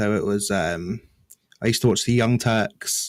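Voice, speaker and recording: In an English accent, the speaker moves at a moderate pace in a very clean recording with a silent background. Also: man. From rural England. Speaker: gaming news YouTuber. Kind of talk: podcast interview.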